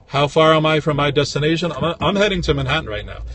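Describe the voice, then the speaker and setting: A man with an American accent talks at a fairly quick pace with vocal fry. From New York City, Brooklyn. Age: 50s. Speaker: flea market vendor and livestreamer. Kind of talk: casual livestream talk. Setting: in a car, driving. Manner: casual, with many fillers.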